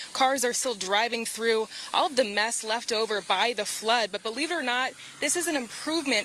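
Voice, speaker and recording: Noticeable background noise sits behind a woman who speaks at a fairly high pitch and a moderate pace, with ordinary pitch variation. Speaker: broadcast journalist. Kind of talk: TV news reporting.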